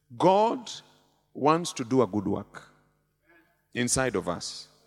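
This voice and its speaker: A man's animated voice at medium pitch, with music in the background. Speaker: bishop and preacher. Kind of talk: sermon. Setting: church with live congregation. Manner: animated, call-and-response; humorous, conversational.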